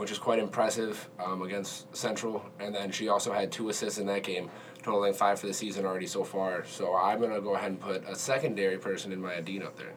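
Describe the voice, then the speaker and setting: A man with a fairly low voice talks at a very fast pace in fairly even intonation, with noticeable background noise. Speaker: podcast co-host, sports analyst.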